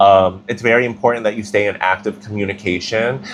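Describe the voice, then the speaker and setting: Against noticeable background noise, a man with a fairly low voice talks at a fairly quick pace with fairly even intonation. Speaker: tarot reader. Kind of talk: tarot reading.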